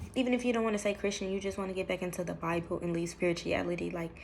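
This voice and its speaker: With ordinary pitch variation, a woman is talking at a very fast pace. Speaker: vlogger. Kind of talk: personal testimony vlog. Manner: mumbles when emotional, drops low; hesitant, many fillers.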